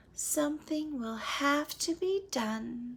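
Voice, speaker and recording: A woman uses a put-on character voice, high-pitched and soft-spoken. She talks at a very slow pace. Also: lively intonation. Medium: read story. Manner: sweet, soft.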